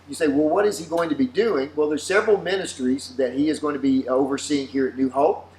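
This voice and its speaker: Over noticeable background noise, a man with a Southern US accent speaks at a fairly high pitch. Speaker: pastor. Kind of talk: casual chat.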